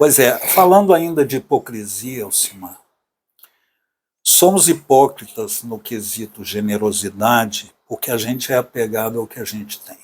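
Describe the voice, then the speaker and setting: A normal speaking voice moves at a fairly slow pace with lively intonation. Loudness swings widely. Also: man, medium pitch for a man. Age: 60s. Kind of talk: casual conversation.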